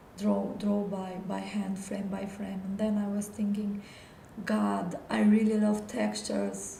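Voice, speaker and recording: The delivery is very slow. Noticeable noise sits in the background. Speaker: illustrator and animator. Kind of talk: live stream art portfolio talk. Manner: halting, with repetitions.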